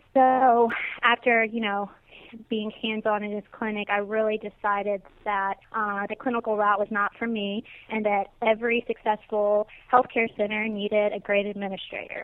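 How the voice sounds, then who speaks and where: A woman's fairly high voice keeps to a monotone, flat intonation as she talks at a moderate tempo. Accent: Mississippi. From US South, Natchez, Mississippi. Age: 20s. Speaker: senior living administrator. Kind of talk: interview.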